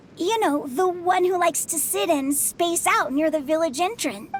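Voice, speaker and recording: A put-on character voice, extremely high in pitch, at a moderate pace over clear background noise. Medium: video game.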